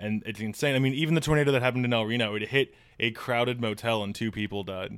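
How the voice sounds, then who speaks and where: Talking at a very fast pace, a man with a Midwestern US accent and a medium pitch shows ordinary pitch variation on a very clean recording with a silent background. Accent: US Midwest. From northern Illinois, US. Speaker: newspaper worker and comedian. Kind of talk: casual chat.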